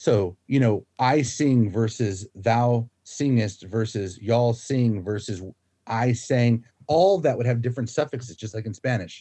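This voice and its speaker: A plain, everyday voice with ordinary pitch variation. It moves at a fairly slow pace. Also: man, medium pitch for a man. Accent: American. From US, Florida. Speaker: linguistics professor. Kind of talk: interview, casual chat.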